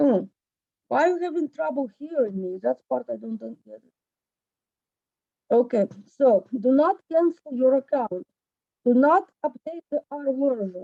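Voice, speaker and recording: A loud woman speaks at high pitch with very wide pitch swings, moving at a fairly slow pace with long, frequent pauses. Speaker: instructor. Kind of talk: lecture. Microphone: distorted, muffled PC mic.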